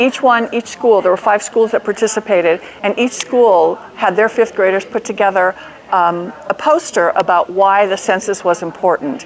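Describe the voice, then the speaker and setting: Against noticeable background noise, a woman at medium pitch speaks at a moderate pace with very even loudness and ordinary pitch variation. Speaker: nonprofit executive director. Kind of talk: conference presentation. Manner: hesitant, many fillers.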